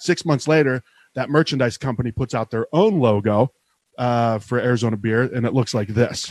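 Recorded with a dry, close sound and no echo, a man with an American accent uses an ordinary speaking voice, ordinary pitch variation and a moderate pace. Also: medium pitch for a man. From Ohio, between Cleveland and Pittsburgh. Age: 40s. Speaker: craft beer media creator. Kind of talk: casual chat.

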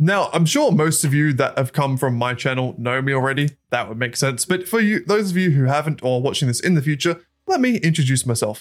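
Delivered at a fairly quick pace with an Australian accent, the speech shows ordinary pitch variation. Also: man, fairly high pitch for a man. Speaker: podcast co-host and YouTuber. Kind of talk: casual chat; scripted intro. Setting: remote recording.

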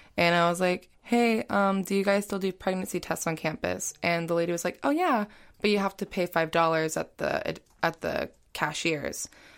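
In a very clean recording with a silent background, a woman with an American accent speaks at a moderate pace in a fairly low pitch with ordinary pitch variation, a plain, everyday voice. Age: 20s. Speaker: LGBT youth program participant. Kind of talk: interview.

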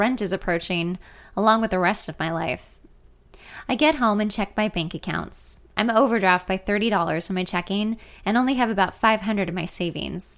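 A woman's normal speaking voice, a normal speaking voice at medium pitch, with ordinary pitch variation, a fairly quick pace and a very clean recording over a silent background. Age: 30s. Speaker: podcaster reading her memoir. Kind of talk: reading aloud.

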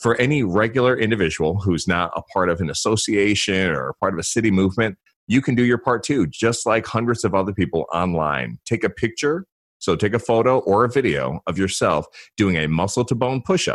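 Fairly quick and lively in intonation, a man speaks at a fairly low pitch. The recording is very clean, with a silent background. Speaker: consultant, former federal officer. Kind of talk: interview.

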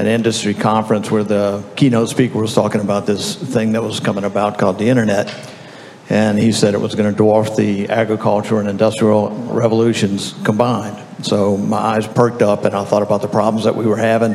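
With a Southern US accent, a man talks fairly quickly at a fairly low pitch. His intonation is monotone and flat, over noticeable background noise. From Louisiana. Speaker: software company founder. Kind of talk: panel discussion. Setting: stage with audience.

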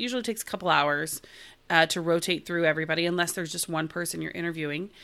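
Bright and sharp in tone, a woman with an American accent talks at a fairly low pitch on a very clean recording with a silent background. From Oklahoma. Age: 40s. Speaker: entertainment reporter. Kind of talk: casual chat.

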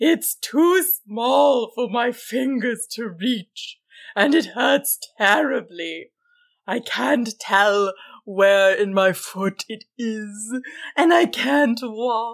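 A woman does a put-on character voice, fairly high in pitch with vocal fry. She speaks at a very slow pace. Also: lively intonation.

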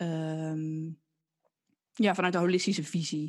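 A woman's monotone, flat delivery at a very slow pace, over a quiet background. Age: 20s. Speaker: podcast co-host, physiotherapist recovering from burnout. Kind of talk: casual chat.

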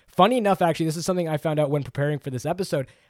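A man speaks at a fairly high pitch with a Canadian accent. The sound is dry and close with no echo, in a very clean recording against a silent background. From Canada. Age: 20s. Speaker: tech podcast co-host. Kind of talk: casual chat.

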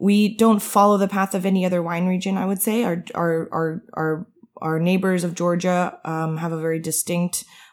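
A woman with an American accent speaks at a fairly low pitch in a monotone, flat way. The recording is very clean, over a silent background. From Italy, Armenian family, schooled in US. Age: 20s. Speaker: winemaker. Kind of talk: interview. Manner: fast.

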